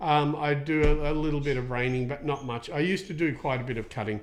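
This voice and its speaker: A man with a fairly high pitch speaks in an Australian accent. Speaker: equine soft tissue therapist, podcast host. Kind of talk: podcast Q&A with live viewers. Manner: fast; many fillers, casual.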